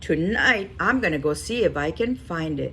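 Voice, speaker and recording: Using a put-on character voice, a woman talks over clear background noise. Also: moderate pace. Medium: read story.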